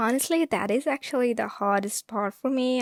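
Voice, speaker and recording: A soft-spoken woman, dry and close with no echo, in a very clean recording against a silent background. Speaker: artist vlogger. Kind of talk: casual vlog talk. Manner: halting.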